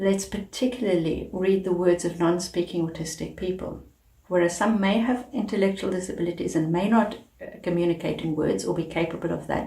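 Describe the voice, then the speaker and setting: This woman speaks with a South African accent. Her pitch is fairly low and her intonation fairly even. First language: Afrikaans. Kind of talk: advocacy talk to camera.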